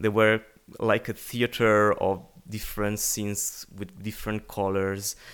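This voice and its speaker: A man with an Italian accent speaks at a fairly slow pace in a monotone, flat intonation and a fairly low pitch, on a very clean recording with a silent background. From Italy. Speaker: singer-songwriter. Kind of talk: casual interview. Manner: halting, searching for words.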